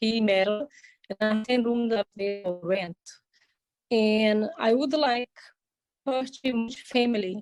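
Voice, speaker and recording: A woman with a Portuguese accent, fairly high in pitch with ordinary pitch variation, at a very slow pace with long, frequent pauses, dry and close with no echo, music in the background. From Brazil. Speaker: workshop participant. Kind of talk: question in online Q&A. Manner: halting.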